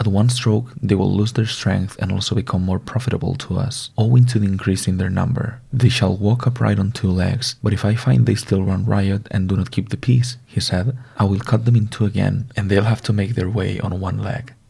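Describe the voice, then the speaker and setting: Soft-spoken and gentle in tone, a man with a non-native accent talks at a moderate pace in a fairly low pitch, with fairly even intonation and hardly any pauses. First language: not English. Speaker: ASMR content creator. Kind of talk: ASMR reading of a Greek myth. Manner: soft-spoken, gentle.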